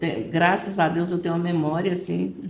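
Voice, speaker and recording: Audible room echo surrounds a woman whose voice sits fairly low in pitch. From Goiás, Brazil. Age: 70s. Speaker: retired-age schoolteacher. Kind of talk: podcast interview.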